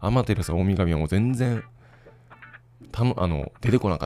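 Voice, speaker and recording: Very fast, a man talks with a fairly low pitch and ordinary pitch variation. His tone is dark and mellow. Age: 30s. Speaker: podcaster and father. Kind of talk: solo casual monologue.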